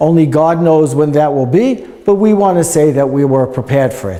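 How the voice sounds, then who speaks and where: With a New York accent, a man is speaking. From US Northeast, New York; US Northeast. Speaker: museum guide. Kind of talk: guided tour talk. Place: hall. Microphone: lapel.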